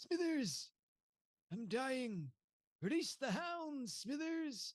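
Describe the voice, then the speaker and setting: A put-on character voice, high-pitched and very slow. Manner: dying, commanding, villainous.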